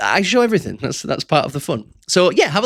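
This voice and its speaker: This man talks at a very fast pace, his pitch swinging very widely. The recording is very clean, with a silent background. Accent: West Yorkshire. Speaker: entrepreneur vlogger. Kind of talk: casual unscripted monologue. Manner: conversational, friendly.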